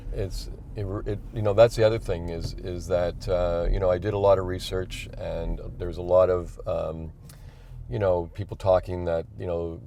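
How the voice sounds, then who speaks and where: A man speaks with a Montreal accent. His intonation stays fairly even. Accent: Canadian English, Montreal. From Quebec, Montreal. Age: 60s. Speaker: electric car owner on a cross-country drive. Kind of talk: interview. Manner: halting.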